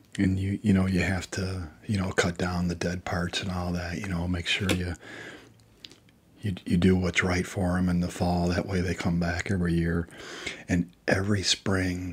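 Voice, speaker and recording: Soft-spoken and somewhat breathy, a man with a very deep, low pitch talks at a moderate pace in a relaxed tone with flat, monotone intonation. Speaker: ASMR creator. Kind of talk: casual talk to camera. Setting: studio, close microphone. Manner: soft-spoken, relaxed.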